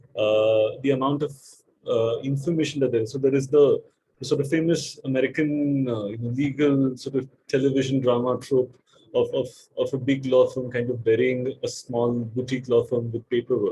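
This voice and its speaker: At a moderate pace, the voice sounds somewhat breathy and dark, mellow in tone, with monotone, flat intonation. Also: man, medium pitch for a man. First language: not English. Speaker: data protection lawyer on expert panel. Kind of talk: panel discussion. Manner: halting, many repeated words.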